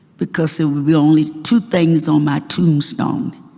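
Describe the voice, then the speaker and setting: A woman speaks at a fairly slow pace in a very deep, low pitch. Noticeable background noise runs under her voice. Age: 90. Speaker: civil rights leader. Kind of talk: acceptance speech.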